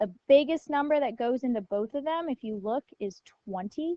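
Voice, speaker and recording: Speaking at a moderate pace, a woman uses lively intonation in a plain, everyday voice. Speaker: math teacher. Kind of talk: lecture.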